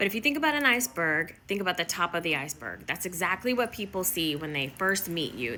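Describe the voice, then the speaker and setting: Music plays behind a speaker with a Midwestern accent and lively intonation. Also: woman. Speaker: workplace inclusion consultant. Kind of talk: motivational talk to camera.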